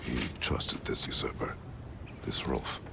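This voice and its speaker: A man performs a put-on character voice at a moderate pace. Loud background noise is present. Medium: machinima. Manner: terse, measured.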